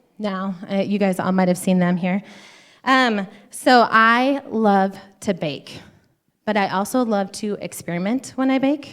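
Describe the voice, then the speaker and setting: A woman with an ordinary speaking voice and an American accent, medium pitch, ordinary pitch variation, fairly slow pace, and a very clean recording with a silent background. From Montana. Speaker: women's conference speaker, physician assistant. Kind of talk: church conference talk.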